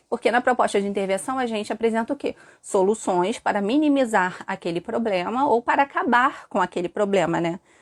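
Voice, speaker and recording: With lively intonation and a fairly quick pace, a woman talks in a normal speaking voice at a fairly high pitch, the sound dry and close with no echo. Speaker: teacher. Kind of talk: live stream lesson. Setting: live stream with chat.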